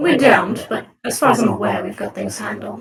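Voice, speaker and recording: A raspy, put-on character voice comes at a moderate pace. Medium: machinima.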